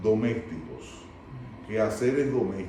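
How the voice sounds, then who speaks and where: Over noticeable background noise and audible room echo, a man talks at a fairly slow pace in a medium pitch. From Dominican Republic. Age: 60s. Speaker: recovering addict sharing life story. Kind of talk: testimony.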